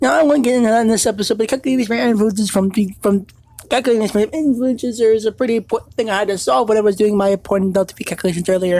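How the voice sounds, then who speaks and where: A woman talks very fast at a fairly high pitch, her loudness staying very even. Noticeable background noise sits behind her. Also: ordinary pitch variation. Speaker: gaming video creator. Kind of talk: gameplay commentary. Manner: halting, many fillers and restarts.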